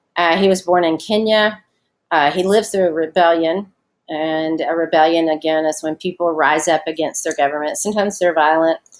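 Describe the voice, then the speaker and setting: A woman speaks with a Southern US accent at a fairly quick pace. Her pitch is fairly low and her intonation fairly even. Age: 40s. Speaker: schoolteacher. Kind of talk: recorded online lesson. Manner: casual, many fillers.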